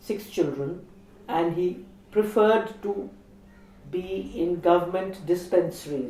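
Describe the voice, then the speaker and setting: Fairly slow speech with ordinary pitch variation and audible room echo. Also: woman. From India. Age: 60s. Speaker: feminist activist. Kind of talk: interview reflection.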